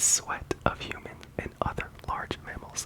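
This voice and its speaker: Noticeable background noise is present. The speaker is whispering. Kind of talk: ASMR reading of insect facts. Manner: whispered; soft-spoken.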